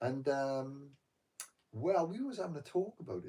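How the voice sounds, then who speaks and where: Soft-spoken and somewhat breathy, a man with a dark, mellow tone speaks fairly slowly with lively intonation. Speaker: meditation vlogger. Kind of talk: casual chat. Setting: live stream from bedroom at night.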